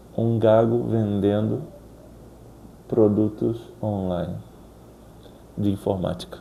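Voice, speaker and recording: Speaking very slowly with long, frequent pauses, a man uses a fairly low pitch and fairly even intonation. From Rio de Janeiro, Brazil. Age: 30s. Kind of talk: casual talk to camera.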